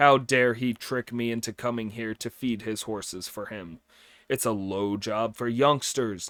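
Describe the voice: The clip features plain reading aloud.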